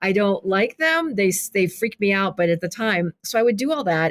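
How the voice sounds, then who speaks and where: A woman speaks at a moderate pace with a medium pitch, the sound dry and close with no echo. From Kentucky, US South (born in Iraq, moved as toddler). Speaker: author and filmmaker. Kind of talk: interview conversation. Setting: podcast interview. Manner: halting, many restarts and fillers.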